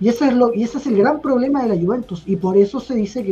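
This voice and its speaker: Very fast speech in a Chilean accent over noticeable background noise. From Chile (Temuco, south). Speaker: football fan panelist. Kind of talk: casual chat.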